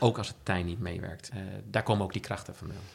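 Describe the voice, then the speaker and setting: This voice is somewhat breathy and moves at a fairly quick pace. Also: man. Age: 50s. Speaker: entrepreneur. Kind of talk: interview. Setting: at the guest's home.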